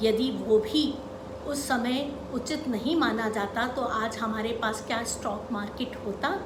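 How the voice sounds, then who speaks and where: Over noticeable background noise, a woman with a high pitch speaks with ordinary pitch variation. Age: 50s. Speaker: investor. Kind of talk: educational talk to camera.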